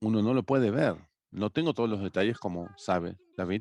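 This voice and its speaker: A man's fairly low voice with lively intonation. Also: dry, close sound with no echo. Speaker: workshop presenter on healthy housing. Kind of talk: educational workshop presentation.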